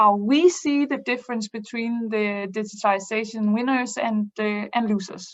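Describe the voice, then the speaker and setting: The speaker moves at a moderate pace with hardly any pauses. Pitch variation is ordinary. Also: woman, fairly high pitch for a woman. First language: not English. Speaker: business improvement consultant. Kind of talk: webinar presentation. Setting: online webinar. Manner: halting, many fillers.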